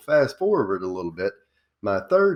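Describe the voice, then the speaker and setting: A man talks with a Southern accent and lively intonation. The background is quiet. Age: 40s. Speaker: small business coach. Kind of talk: interview.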